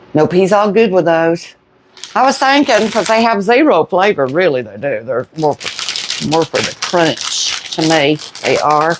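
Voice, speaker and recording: A quiet woman with a Southern US accent speaks at a fairly slow pace with very wide pitch swings over noticeable background noise. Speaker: home cooking vlogger. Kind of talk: casual cooking chat. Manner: starts loud, trails off quieter.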